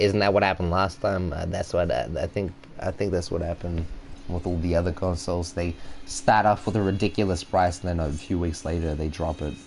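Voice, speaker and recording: Over noticeable background noise, a man talks at a fairly quick pace. His very deep, low pitch stays monotone and flat. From Australia. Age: 20s. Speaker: video game streamer. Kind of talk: casual live-stream gaming chat.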